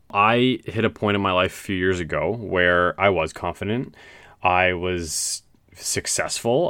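This man's voice has a bright, sharp tone and ordinary pitch variation, recorded very cleanly against a silent background. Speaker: solo podcaster. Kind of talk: casual monologue. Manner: loud; high energy.

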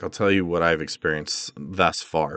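This man keeps a moderate pace. Behind him, the background stays quiet. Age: 40s. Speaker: therapist and podcast host. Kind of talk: solo podcast monologue. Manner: casual with frequent fillers.

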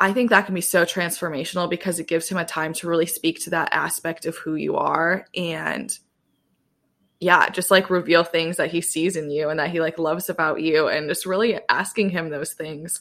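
A woman's plain, everyday voice with an American accent, fairly low in pitch at a moderate pace, on a very clean recording with a silent background. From US Midwest, Southwest Michigan. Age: 20s. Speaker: podcast host, guest on another podcast. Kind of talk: casual chat.

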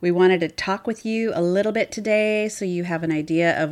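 A woman with an American accent speaks at a fairly quick pace and fairly low pitch, with ordinary pitch variation and an unremarkable speaking voice. The recording is very clean, with a silent background. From US Pacific Northwest (Seattle). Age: 50s. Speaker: podcast co-host. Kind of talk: casual chat.

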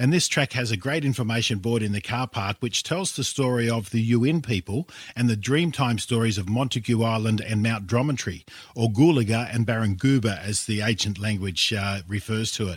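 A man with an Australian accent speaks at medium pitch and a moderate pace, somewhat breathy, with ordinary pitch variation and hardly any pauses, on a very clean recording with a silent background. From Sydney western suburbs, Australia. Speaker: travel expert. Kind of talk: casual interview. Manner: hesitant, repeats words.

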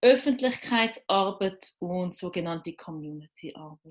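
Her intonation is lively and her voice somewhat breathy. The woman speaks at a fairly slow pace. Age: 30s. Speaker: LGBT activist and journalist. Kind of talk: interview.

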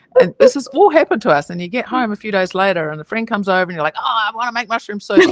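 A woman with an American accent and vocal fry speaks very fast at a fairly high pitch, in a dry, close sound with no echo. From New Zealand. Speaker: writer and meditation teacher. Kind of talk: casual interview chat. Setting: video call.

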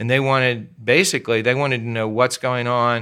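Over a very clean recording with a silent background, a man talks at a fairly quick pace in a plain, everyday voice at medium pitch. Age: 60s. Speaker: pastor. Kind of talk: casual interview.

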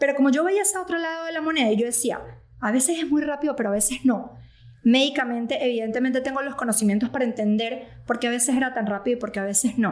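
A woman talks very fast in a high voice, her pitch moving in an ordinary way. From Venezuela. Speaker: physician (ENT doctor). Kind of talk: casual chat.

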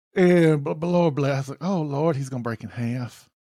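Lively intonation marks this man's dark, mellow voice at a medium pitch, with a Southern US accent. The recording is very clean, with a silent background. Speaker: podcast host. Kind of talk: casual banter.

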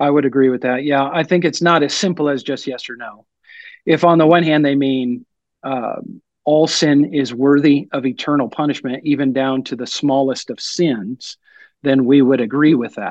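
With an unremarkable speaking voice, a man speaks at a moderate pace, fairly high in pitch and fairly even in intonation, against a quiet background. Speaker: pastor. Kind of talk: theological discussion.

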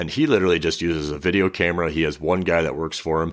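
Over a silent background in a very clean recording, a man speaks very fast in a very deep, low voice. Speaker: podcaster. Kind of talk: casual interview chat.

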